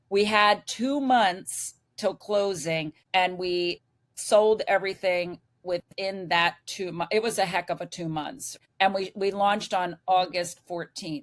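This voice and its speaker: This woman's voice sits at a medium pitch. Its rise and fall is ordinary. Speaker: retired PE teacher, RV traveler. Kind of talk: casual interview chat. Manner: animated.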